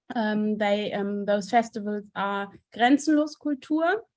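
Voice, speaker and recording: In a German accent, a woman talks at a very slow pace. Her pitch varies in an ordinary way. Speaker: theater director and festival curator. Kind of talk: conference presentation. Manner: halting, many fillers.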